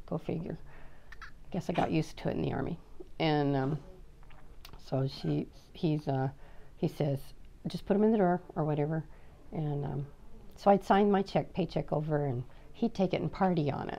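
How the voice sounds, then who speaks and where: With an American accent, a woman speaks at a moderate pace with long, frequent pauses, her dark, mellow voice very deep and low, edged with vocal fry, and her pitch varying in an ordinary way. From Oregon, US. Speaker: army veteran. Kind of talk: oral history interview. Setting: office.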